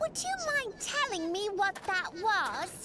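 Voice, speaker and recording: Using a put-on character voice, a woman speaks at an extremely high pitch with very wide pitch swings and a fairly slow pace amid clear background noise. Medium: video game. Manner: haughty.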